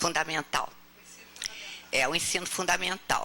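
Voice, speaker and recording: A woman speaks over noticeable background noise. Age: 80s+. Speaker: spiritist speaker. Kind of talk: talk to audience. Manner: animated storytelling.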